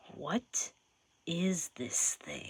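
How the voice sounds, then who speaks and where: Dry and close with no echo, a man performs a put-on character voice at a high pitch. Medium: read story. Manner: abrupt.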